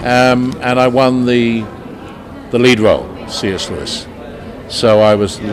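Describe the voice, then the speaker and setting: Amid audible room echo and noticeable background noise, a man at medium pitch speaks with fairly even intonation and long, frequent pauses. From London, England. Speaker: actor. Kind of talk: interview. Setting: convention interview. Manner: hesitant, many filler sounds.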